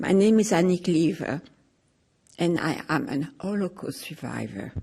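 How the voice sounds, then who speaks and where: Speaking at a fairly slow pace, a woman has a fairly low pitch and a dark, mellow tone touched with vocal fry. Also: lively intonation. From France. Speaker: Holocaust survivor. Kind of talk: testimony.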